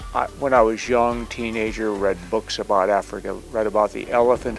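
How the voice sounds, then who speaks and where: Over noticeable background noise, a man speaks at a moderate pace in a fairly low voice. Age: 60s. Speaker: hunting client, Marine Corps veteran. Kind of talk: documentary narration and casual talk.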